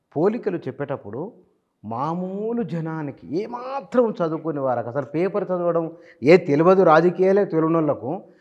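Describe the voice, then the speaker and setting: A man with a high pitch and lively intonation speaks against a quiet background. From Telangana, Warangal; Telangana. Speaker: journalist interviewer. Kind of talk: interview. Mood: animated, smiling. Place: studio.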